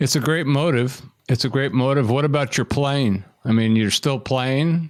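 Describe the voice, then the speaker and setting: A man's unremarkable speaking voice, medium in pitch, with ordinary pitch variation, very even loudness and a moderate pace. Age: middle-aged. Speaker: podcast host. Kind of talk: interview.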